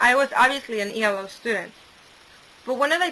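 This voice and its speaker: A woman talks at a fairly quick pace in a Spanish accent with lively intonation. Noticeable background noise is present. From Mexico. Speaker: student. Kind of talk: scripted narration.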